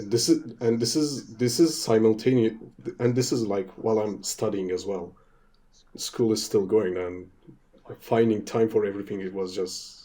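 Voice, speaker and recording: The man's tone is dark and mellow, with a medium pitch and ordinary pitch variation. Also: moderate pace. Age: 20s. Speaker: YouTuber and freelance teacher. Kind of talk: casual chat.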